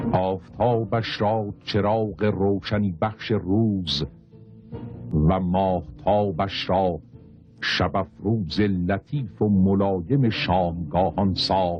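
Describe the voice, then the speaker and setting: Music plays in the background as a man with a very deep, low voice speaks at a very slow pace. His loudness stays very even, with ordinary pitch variation. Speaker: narrator. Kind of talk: religious literary reading.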